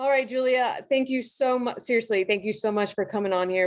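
Against a quiet background, a woman speaks in a plain, everyday voice at a fairly quick pace with fairly even intonation. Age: 20s. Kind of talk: interview. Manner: casual with many fillers.

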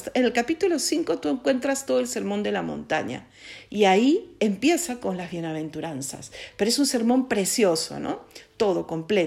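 Her voice shows very wide pitch swings and vocal fry at a medium pitch. The woman keeps a moderate pace. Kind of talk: spiritual reflection. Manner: stuttering; halting.

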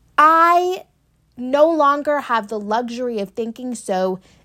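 On a very clean recording with a silent background, a woman speaks at a fairly slow pace with very wide pitch swings. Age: 20s. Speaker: podcast host. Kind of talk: solo monologue. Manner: casual, filler-heavy.

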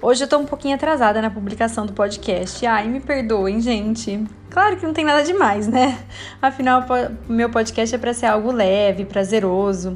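A woman with a fairly high pitch speaks in an animated, cheerful tone with ordinary pitch variation over noticeable background noise. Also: moderate pace. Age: 30s. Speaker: podcast host, nutritionist. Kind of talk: casual solo podcast monologue.

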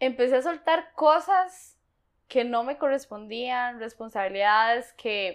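On a very clean recording with a silent background, a woman speaks very slowly in a high pitch. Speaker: coaching program participant. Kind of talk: interview.

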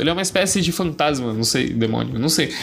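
Over music in the background, a man speaks at a very fast pace with very wide pitch swings. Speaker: podcast host. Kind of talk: casual solo monologue. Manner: casual, slangy.

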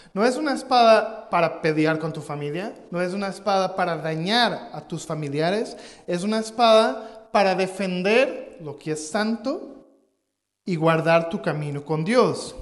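Room echo can be heard. The delivery is fairly slow. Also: man, high pitch for a man, lively intonation. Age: 30s. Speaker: pastor. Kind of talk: sermon. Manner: halting.

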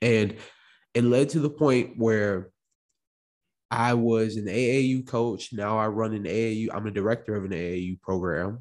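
This man has an ordinary speaking voice, a medium pitch, ordinary pitch variation, and an American accent. The recording is very clean with a silent background. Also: moderate pace. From Illinois, US Midwest (Chicago, Morris). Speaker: podcast host and entrepreneur. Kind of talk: solo podcast monologue. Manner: casual, conversational.

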